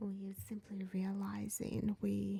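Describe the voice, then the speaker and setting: Soft-spoken and calm, a woman speaks at a medium pitch with a dark, mellow tone, somewhat breathy and in a flat monotone. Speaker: tarot reader and spiritual medium. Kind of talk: ASMR tarot reading. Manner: soft-spoken, calm.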